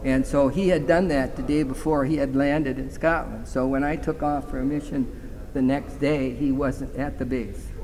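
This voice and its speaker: A man speaks at a moderate pace in a fairly high pitch with monotone, flat intonation, with audible room echo and noticeable background noise. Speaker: war veteran. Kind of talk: interview reminiscence.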